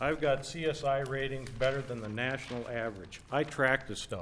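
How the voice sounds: Pitch varying in an ordinary way, a man speaks at a moderate pace.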